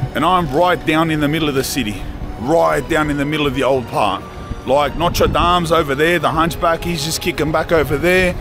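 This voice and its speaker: With clear music behind him, a man talks in a dry sound with no echo. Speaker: food vlogger. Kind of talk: casual vlog chat. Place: street. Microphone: phone near.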